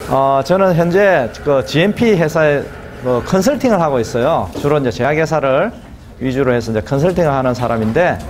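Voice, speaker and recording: A man with a fairly high pitch and lively intonation speaks at a moderate pace, with audible room echo and noticeable background noise. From southern Korea (provinces). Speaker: GMP consultant, lecturer. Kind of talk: lecture. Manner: hesitant with many fillers.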